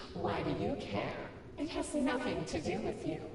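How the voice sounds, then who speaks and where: Loud background noise and strong echo accompany a put-on character voice delivered at a moderate pace. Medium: game stream. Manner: sweet, taunting.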